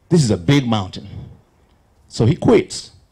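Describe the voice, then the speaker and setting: The man's voice is somewhat breathy. He talks at a fairly slow pace. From Uganda. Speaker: professional musician, invited speaker. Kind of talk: motivational talk. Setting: stage with audience.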